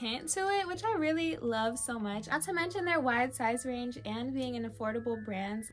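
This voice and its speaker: A woman talks at a moderate pace with hardly any pauses. Light background noise is audible. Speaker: lifestyle vlogger. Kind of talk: sponsored haul talk to camera. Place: home room.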